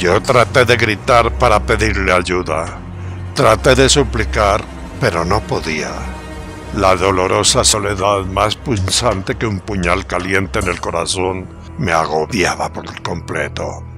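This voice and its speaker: Music plays behind a man whose very deep, low voice moves with lively intonation at a very slow pace. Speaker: storyteller. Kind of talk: horror story narration.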